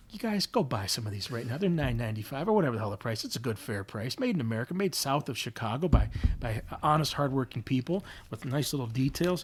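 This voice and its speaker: Very fast and animated, a man with a medium pitch speaks in a somewhat breathy voice with lively intonation. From Northern Michigan, US Midwest. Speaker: graphic designer. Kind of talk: casual interview. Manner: fast, animated.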